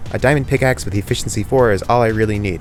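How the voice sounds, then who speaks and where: A man speaks with music in the background. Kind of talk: gameplay commentary narration. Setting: home recording, air conditioner audible.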